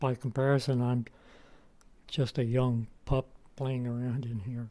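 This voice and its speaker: A man talks at a very slow pace with a relaxed tone, a medium pitch and flat, monotone intonation. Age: 80s+. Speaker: retired psychologist and vlogger. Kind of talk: casual talk to camera while hiking. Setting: outdoors, forest hike. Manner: relaxed, unhurried with fillers.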